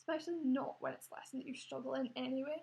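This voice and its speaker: A woman with a Scottish accent talks at a very fast pace. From Scotland. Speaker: vlogger. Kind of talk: personal testimony. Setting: home recording on laptop. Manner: hesitant, many fillers. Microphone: laptop.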